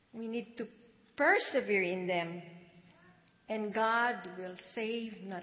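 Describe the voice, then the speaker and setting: At a very slow pace, a woman speaks in a somewhat breathy voice with a fairly high pitch. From Philippines. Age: 70s. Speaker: church member. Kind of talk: testimony. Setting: church.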